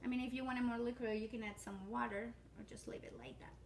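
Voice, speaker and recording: A woman talks at a fairly quick pace with a Spanish accent. Room echo is audible. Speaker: cooking channel host. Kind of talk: cooking tutorial. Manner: casual, hesitant with fillers.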